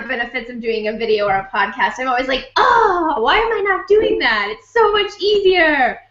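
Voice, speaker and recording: A woman's high, raised and projected voice with very wide pitch swings, at a moderate pace, amid audible room echo. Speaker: marketing consultant and blogger. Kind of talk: casual interview chat.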